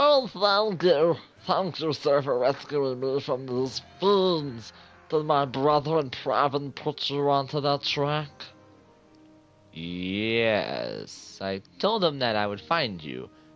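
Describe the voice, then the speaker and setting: Faint music plays in the background as a man in a put-on character voice, fairly high-pitched with lively intonation, speaks at a very slow pace. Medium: game stream.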